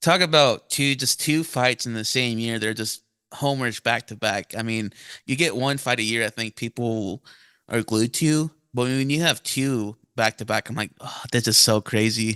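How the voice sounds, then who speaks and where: Bright and sharp in tone, a man of medium pitch speaks at a moderate pace with fairly even intonation, the sound dry and close with no echo against a quiet background. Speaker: podcast host. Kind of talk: casual chat.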